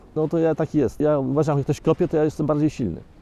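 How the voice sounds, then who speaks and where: This man has a fairly high pitch and a dark, mellow tone, with fairly even intonation. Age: 60s. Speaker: environmental activist. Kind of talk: documentary interview answer.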